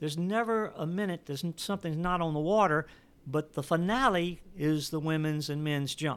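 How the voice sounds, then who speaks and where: High pitch for a man, ordinary pitch variation and a fairly quick pace, on a very clean recording with a silent background. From Louisiana, US. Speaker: water ski coach and event organizer. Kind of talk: interview. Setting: in person. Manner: repetitive false starts.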